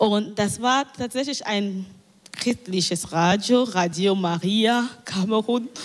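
Against noticeable background noise, a woman speaks very slowly at a medium pitch with ordinary pitch variation. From Cameroon. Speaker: community radio journalist. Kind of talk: panel discussion. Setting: live stage panel broadcast on radio.

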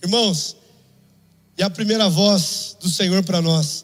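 A man with a Brazilian accent, animated in tone, at a fairly slow pace. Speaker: preacher. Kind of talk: sermon. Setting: church. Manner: exhortative.

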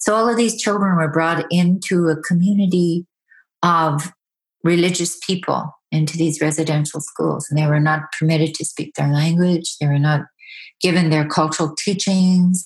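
A woman with a fairly low pitch speaks at a moderate pace, somewhat breathy, with fairly even intonation. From Yukon, Canada (First Nation village). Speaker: storyteller and artist. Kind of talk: interview. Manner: hesitant, with fillers.

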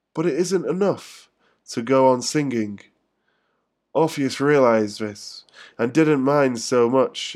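Very clean recording with a silent background. A man with a London accent speaks at a fairly slow pace. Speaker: podcast host. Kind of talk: casual solo podcast monologue, rambling chat; poem performed, read aloud with pauses and stumbles over names. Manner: rambling, hesitant, full of fillers; self-deprecating, informal, swearing.

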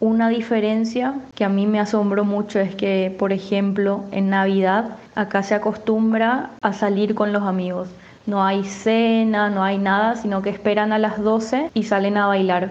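A woman speaks at a medium pitch and a fairly slow pace, with very even loudness and hardly any pauses. Room echo is audible. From Paraguay (Asunción). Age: 20s. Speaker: university student, migrant. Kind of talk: personal testimony. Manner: animated.

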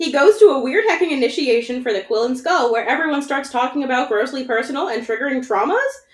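A woman with an American accent, high-pitched and lively in intonation, at a very fast pace amid noticeable background noise. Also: hardly any pauses. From Rhode Island, US. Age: 20s. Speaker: podcast guest, fandom candle maker. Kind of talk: casual chat; episode recap.

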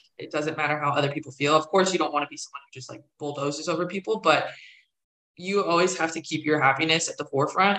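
A woman with an ordinary speaking voice talks at a fairly quick pace, her fairly low pitch carrying fairly even intonation. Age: 20s. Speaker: recruiter, recent graduate. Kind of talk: interview.

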